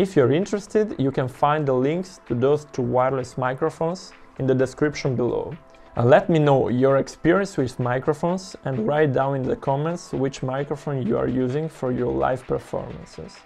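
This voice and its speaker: A man at a moderate pace, ordinary pitch variation, faint music in the background. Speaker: saxophonist reviewing gear. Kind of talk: product review talk to camera. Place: home room.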